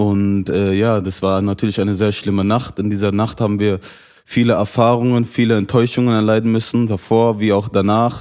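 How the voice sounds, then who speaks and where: Over a quiet background, a man speaks in a fairly low pitch with monotone, flat intonation. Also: moderate pace. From Germany, Hanau (Hesse); Hesse, Germany. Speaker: terror attack survivor; interview guest. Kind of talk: interview testimony. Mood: serious, grieving, indignant. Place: studio. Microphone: handheld.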